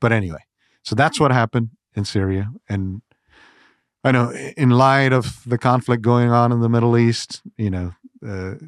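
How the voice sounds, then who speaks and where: A man talks at a moderate pace with long, frequent pauses, his medium pitch showing ordinary variation. The recording is very clean with a silent background, dry and close with no echo. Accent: Indian. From India, Gujarat. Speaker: ministry president. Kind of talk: interview conversation. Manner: animated.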